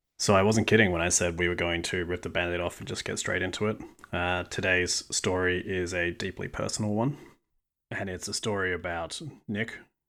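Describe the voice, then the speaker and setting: In a very clean recording with a silent background, a man speaks with an Australian accent. His very deep, low voice has a bright, sharp tone, a fairly quick pace and fairly even intonation. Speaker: podcast host. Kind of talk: scripted narration.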